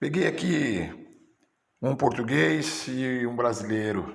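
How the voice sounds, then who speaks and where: Delivered at a very slow pace with lively intonation, the speech carries audible room echo. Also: man. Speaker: teacher. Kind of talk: teacher training lecture. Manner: halting.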